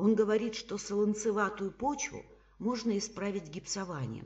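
A woman talks at a fairly slow pace. Her medium-pitched voice shows vocal fry. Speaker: psychologist and trainer. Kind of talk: literary reading of a short story, reading competition entry. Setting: home recording for a reading contest.

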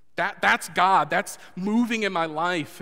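A man talks with a bright, sharp tone and ordinary pitch variation. The background is quiet. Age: 30s. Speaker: pastor. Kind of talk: sermon. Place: church.

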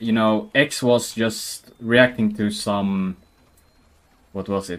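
Speaking at a very slow pace, this man has a medium pitch. Each word comes out unhurried. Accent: Swedish. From Sweden. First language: Swedish. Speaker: gaming streamer. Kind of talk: casual gameplay commentary. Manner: casual, animated.

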